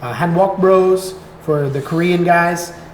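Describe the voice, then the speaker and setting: Audible room echo and noticeable background noise surround a man speaking with an American accent and fairly even intonation. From Florida, US. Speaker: content creator. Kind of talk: casual chat.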